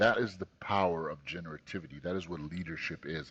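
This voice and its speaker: A man speaks at a very fast pace. His voice is very deep and low. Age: 40s. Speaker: tech company CEO. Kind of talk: interview.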